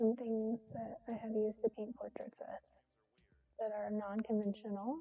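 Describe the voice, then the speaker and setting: A soft-spoken woman talks at a moderate pace with long, frequent pauses. Her pitch is fairly high and her intonation fairly even. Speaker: artist streaming live painting. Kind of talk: casual live-stream chat while painting. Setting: live stream at home with cat. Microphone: too quiet.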